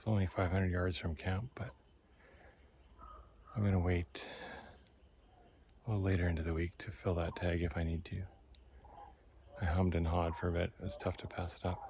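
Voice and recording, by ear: Delivered at a moderate pace with long, frequent pauses, the voice has a slightly husky edge, a slightly mellow tone and little pitch movement. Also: man, low pitch for a man.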